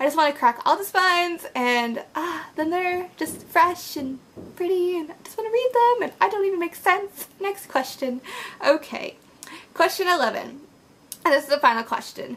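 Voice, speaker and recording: Noticeable background noise sits behind a woman whose extremely high voice has an animated tone, very wide pitch swings, and big swings in loudness. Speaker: book vlogger. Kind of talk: casual vlog monologue. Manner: fast.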